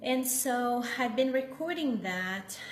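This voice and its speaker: At a fairly slow pace, a woman with a Brazilian accent speaks amid audible room echo and noticeable background noise. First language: Portuguese. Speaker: meditation teacher. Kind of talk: casual chat. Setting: live stream. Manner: halting, with many fillers.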